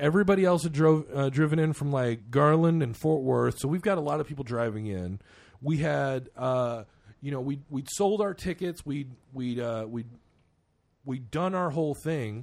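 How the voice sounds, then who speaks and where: In a quiet background, a man with an unremarkable speaking voice talks at a moderate pace, fairly high in pitch with ordinary pitch variation. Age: 30s. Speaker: podcast host and metal musician. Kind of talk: casual chat.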